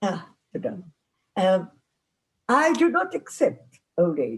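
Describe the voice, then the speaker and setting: A woman's somewhat breathy voice, very slow, with very wide pitch swings. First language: not English. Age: 90s. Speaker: psychotherapist. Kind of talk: lecture. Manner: halting.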